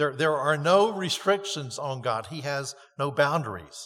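A man with an American accent speaks at a fairly slow pace, his fairly high pitch carrying lively intonation and vocal fry. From North Carolina. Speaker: pastor. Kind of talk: sermon. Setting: church.

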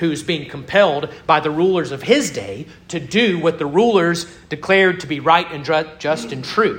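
Audible echo from the room surrounds the man as he talks. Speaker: pastor. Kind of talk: sermon.

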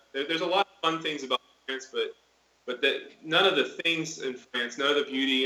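A man speaks with an American accent at a fairly quick pace. Background noise is noticeable. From Florida. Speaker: missionary. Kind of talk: interview. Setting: video call.

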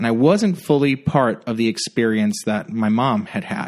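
A man speaks in a Puerto Rican accent with lively intonation. His moderate pace comes over a quiet background. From Puerto Rico. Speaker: pastor. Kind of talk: podcast interview. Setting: makeshift studio.

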